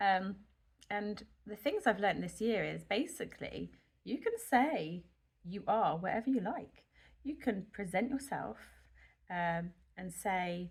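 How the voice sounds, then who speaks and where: A woman with a British accent speaks at a very slow pace, leaving long, frequent pauses. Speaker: nurse and health vlogger. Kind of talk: casual vlog monologue. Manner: slow, rambling; hesitant with many fillers.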